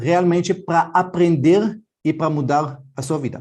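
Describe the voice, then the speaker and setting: A man with an Israeli accent. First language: Hebrew (speaking Portuguese). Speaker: financial educator. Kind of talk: online class.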